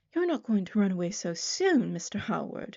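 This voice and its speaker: A woman's put-on character voice, shrill and medium in pitch, at a moderate pace. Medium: read story. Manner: breathless, gushing chatter.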